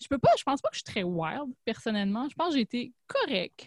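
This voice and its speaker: Dry and close with no echo, a woman's fairly high voice moves at a moderate pace with lively intonation. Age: 30s. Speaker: podcast host. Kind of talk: casual chat.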